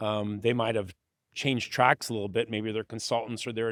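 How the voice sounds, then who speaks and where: With an American accent and a normal speaking voice, a man at medium pitch talks at a fairly quick pace in a very clean recording with a silent background and a dry, close sound with no echo. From West Virginia. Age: 60s. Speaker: asset manager. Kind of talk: interview conversation.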